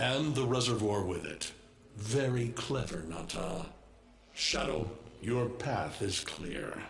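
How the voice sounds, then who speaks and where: The speaker uses a put-on character voice at a fairly slow pace. Background noise is clearly audible. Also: man, medium pitch for a man. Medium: video game. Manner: menacing, gloating.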